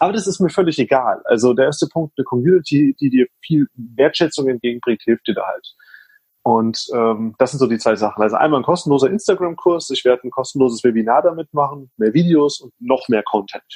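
The intonation of this man's fairly high voice is lively. The sound is dry and close, with no echo. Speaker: social media consultant. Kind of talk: casual interview chat. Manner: fast, talkative.

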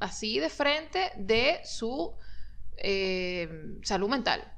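A woman talks with vocal fry at a fairly high pitch. Her pitch swings very widely. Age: 40s. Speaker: podcast co-host. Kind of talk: casual chat.

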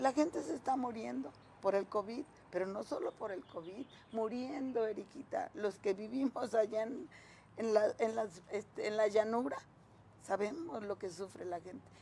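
A woman uses an ordinary speaking voice with fairly high pitch. She talks at a moderate pace with lively intonation. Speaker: local political leader of a social organization. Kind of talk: interview.

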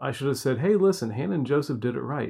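An unremarkable speaking voice from a man at medium pitch, with lively intonation over a quiet background. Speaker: podcast host. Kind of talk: casual conversation.

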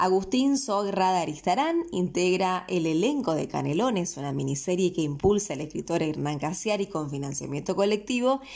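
Speaking in a Rioplatense accent, a woman uses a medium pitch and lively intonation. She keeps a moderate pace with hardly any pauses. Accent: Argentine Rioplatense Spanish. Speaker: local news host. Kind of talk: news reading.

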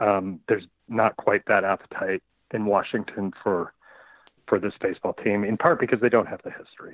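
The clip has a normal speaking voice with big swings in loudness. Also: man, fairly low pitch for a man, fairly even intonation, moderate pace. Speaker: sportswriter and author. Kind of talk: interview answers. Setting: phone call.

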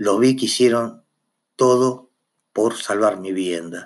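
Speaking very slowly is a man. His intonation remains fairly even throughout. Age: 50s. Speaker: firefighter chief and podcaster. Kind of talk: personal monologue podcast. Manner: halting, frequent repetitions and fillers.

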